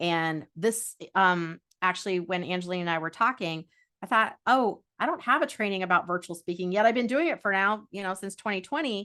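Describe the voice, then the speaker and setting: Against a quiet background, a woman talks at a fairly quick pace in a medium pitch, her tone bright and sharp and her intonation lively. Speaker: speaker trainer and workshop presenter. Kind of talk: interactive online workshop. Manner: fast.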